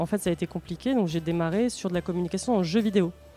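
A fairly low-pitched woman at a very fast pace, with music in the background. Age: 30s. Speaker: marketing and communications director at a board game publisher. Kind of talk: interview.

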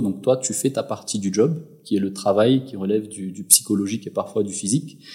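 With an ordinary speaking voice, a man talks at a fairly low pitch with ordinary pitch variation. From Madagascar. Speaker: entrepreneur. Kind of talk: interview. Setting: at his home.

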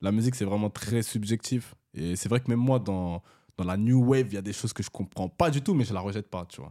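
Dark, mellow tone at a fairly quick pace, dry and close with no echo, on a very clean recording with a silent background. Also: man, fairly low pitch for a man, ordinary pitch variation. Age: 20s. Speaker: rapper. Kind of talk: casual chat.

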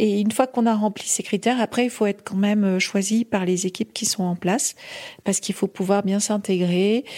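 A woman speaks fairly slowly in a dark, mellow tone. Her medium pitch stays fairly even in intonation. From French Pyrenees (Ariège). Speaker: mountain rescue doctor. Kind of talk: testimony. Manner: halting.

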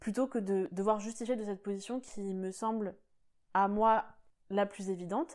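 With a dark, mellow tone at a medium pitch, a woman talks at a moderate pace with ordinary pitch variation on a very clean recording with a silent background. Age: 20s. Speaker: podcast host. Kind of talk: solo monologue podcast.

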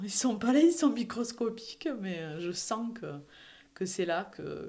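A woman is speaking. Her pace is very slow. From southern France, Perpignan. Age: 40s. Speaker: professional coach sharing her fertility story. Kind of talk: personal testimony. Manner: hesitant, many fillers and repetitions.

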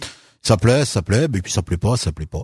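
Very fast and lively in intonation, a man speaks at medium pitch, somewhat breathy, in a dry, close sound with no echo on a very clean recording with a silent background. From France, Loire (Saint-Étienne area). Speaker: author. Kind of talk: interview.

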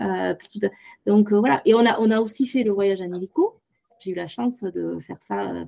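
Long, frequent pauses break up this woman's speech. Between them, she keeps a moderate pace. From southwest France, Tarn-et-Garonne. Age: 50s. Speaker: podcast guest, former au pair. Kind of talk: interview testimony.

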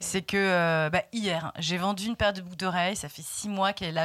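The recording is very clean, with a silent background. A woman speaks at a medium pitch and a moderate pace. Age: 40s. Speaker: shop owner and magazine founder. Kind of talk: interview. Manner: hesitant, many fillers and repetitions.

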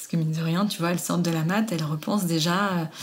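Audible room echo surrounds a woman with a fairly low pitch, who speaks at a moderate pace with fairly even intonation. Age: 30s. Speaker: lactation consultant and nurse. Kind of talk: interview.

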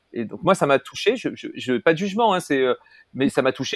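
A man's fairly high voice at a very fast pace. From Paris, France. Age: 50s. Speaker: entrepreneur, platform co-founder. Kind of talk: casual interview conversation. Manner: halting, many hesitations.

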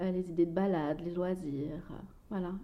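A woman speaks in an unremarkable speaking voice. Her pace is fairly slow, with ordinary pitch variation. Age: 30s. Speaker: mother and Instagram blogger. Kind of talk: personal testimony interview.

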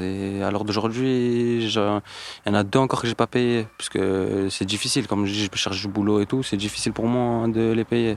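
A man speaks at a fairly slow pace in a fairly low pitch. His intonation is monotone and flat, and the recording is very clean with a silent background. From Montpellier, southern France. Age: 20s. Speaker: unemployed young man. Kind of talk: casual interview. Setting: outdoors.

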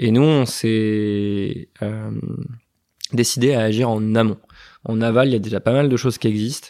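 With a dark, mellow tone and a medium pitch, a man talks at a fairly slow pace with long, frequent pauses and fairly even intonation, in a very clean recording over a silent background. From western France. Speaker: entrepreneur, co-founder of an anti-food-waste startup. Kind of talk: interview. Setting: company offices.

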